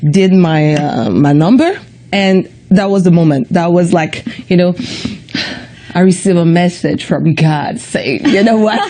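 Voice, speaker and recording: A woman speaks at a fairly low pitch with very even loudness and long, frequent pauses over noticeable background noise. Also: ordinary pitch variation, fairly slow pace. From Quebec, Montreal. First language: French. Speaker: comedian. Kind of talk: interview. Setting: studio.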